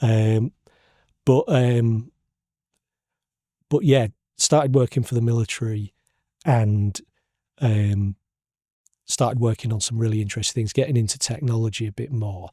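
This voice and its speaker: Speaking with a Hull accent, a somewhat breathy man with a medium pitch and ordinary pitch variation leaves long, frequent pauses on a very clean recording with a silent background. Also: moderate pace. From northern England, Hull. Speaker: podcast host, cartographer. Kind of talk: casual interview chat. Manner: halting, many repetitions.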